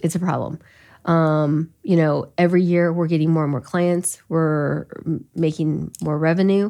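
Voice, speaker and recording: A woman's fairly low voice in an American accent, fairly slow and with fairly even intonation, on a very clean recording with a silent background. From US Midwest, Elkhart County, Indiana. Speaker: business founder. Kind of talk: interview conversation.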